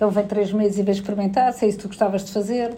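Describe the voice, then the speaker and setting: A woman speaks in a European Portuguese accent with a medium pitch. Her tone is dark and mellow, and her intonation is monotone and flat. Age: 40s. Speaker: HR director. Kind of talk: interview.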